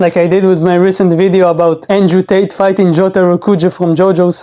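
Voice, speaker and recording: With a non-native accent, the words come at a moderate pace. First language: not English. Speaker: gaming YouTuber. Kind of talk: video game review commentary. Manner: casual, joking.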